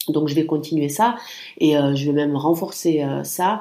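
Very deep, low pitch from a woman, dark and mellow in tone, with ordinary pitch variation. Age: 30s. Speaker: podcast host. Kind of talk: casual solo monologue. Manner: hesitant, many fillers.

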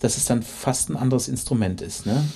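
Lively intonation runs through this man's medium-pitched speech. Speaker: podcast host, orchestra musician. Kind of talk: interview. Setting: orchestra venue. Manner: hesitant, many fillers.

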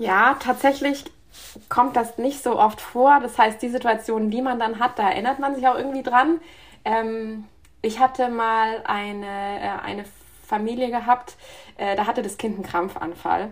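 A woman with an unremarkable speaking voice talks at a fairly high pitch and moderate pace, her intonation fairly even. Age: 30s. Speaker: emergency physician. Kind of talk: interview.

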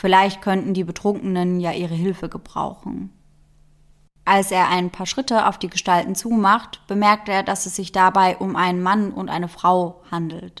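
A woman with a plain, everyday voice, a medium pitch, fairly even intonation and a moderate pace. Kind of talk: true-crime narration. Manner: measured, serious storyteller pace; suspenseful, building tension.

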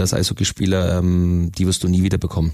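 A man speaks at a fairly quick pace. His very deep, low voice stays monotone and flat. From Bavaria, Augsburg area (Königsbrunn). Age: 30s. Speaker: ice hockey player, team captain. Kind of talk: interview.

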